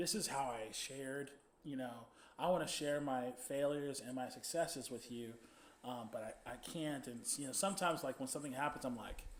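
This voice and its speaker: A man's fairly high-pitched voice at a fairly quick pace, with ordinary pitch variation, audible room echo and noticeable background noise. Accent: American. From Texas, Dallas. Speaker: podcast host and band musician. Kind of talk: interview. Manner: halting.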